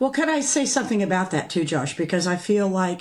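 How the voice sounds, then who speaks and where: A woman talks at a moderate pace with a fairly low pitch and a somewhat breathy quality. The recording is very clean, with a silent background. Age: 80s+. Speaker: podcast co-host. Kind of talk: casual chat.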